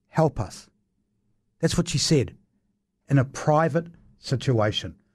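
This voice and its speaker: A somewhat breathy man's voice with a New Zealand accent and lively intonation. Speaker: radio talk show host. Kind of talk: radio panel debate. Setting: radio studio.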